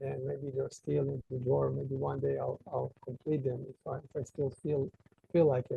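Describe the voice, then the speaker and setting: A man with an Israeli accent at a moderate pace. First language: Hebrew. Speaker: author. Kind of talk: interview. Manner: halting.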